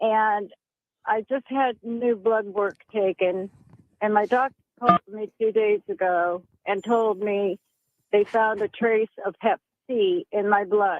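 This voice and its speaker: At a very slow pace, a woman speaks with a fairly high pitch and fairly even intonation. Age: 70s. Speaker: caller. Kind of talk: call-in question.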